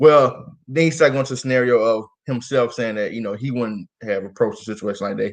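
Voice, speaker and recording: Talking very fast in an animated tone, a man uses a medium pitch with ordinary variation. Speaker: podcast host. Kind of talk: casual chat.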